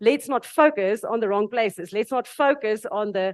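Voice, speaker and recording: A woman with a South African accent speaks at a moderate pace in a fairly high pitch, her intonation lively, against a quiet background. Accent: Afrikaans South African. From South Africa (Afrikaans). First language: Afrikaans. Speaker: panel speaker. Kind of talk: panel discussion.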